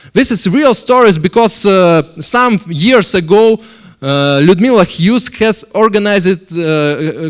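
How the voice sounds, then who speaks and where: A man with a Russian accent at a high pitch for a man, fairly slow, with lively intonation. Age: 30s. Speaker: company board member. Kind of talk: investment presentation. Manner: halting.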